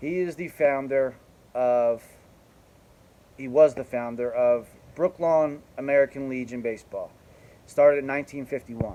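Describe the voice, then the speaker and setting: A man with a New Jersey accent at medium pitch, fairly even intonation and a moderate pace, big swings in loudness and long, frequent pauses. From New Jersey, South Jersey. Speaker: youth baseball coach and vlogger. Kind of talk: casual monologue introduction.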